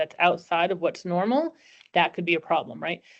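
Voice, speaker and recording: A woman speaks at a medium pitch. She has a New Jersey accent. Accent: New Jersey American. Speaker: employment lawyer. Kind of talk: webinar presentation. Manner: fast.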